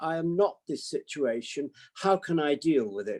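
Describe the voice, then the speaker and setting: A man's high, dark and mellow voice with a British accent, lively in intonation, at a moderate pace, in a dry, close sound without echo. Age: 80s. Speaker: psychiatrist. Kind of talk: talk to online audience.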